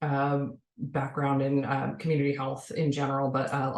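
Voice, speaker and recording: Against noticeable background noise, a woman speaks with a very deep, low pitch. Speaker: public health academic. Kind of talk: panel discussion. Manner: fast.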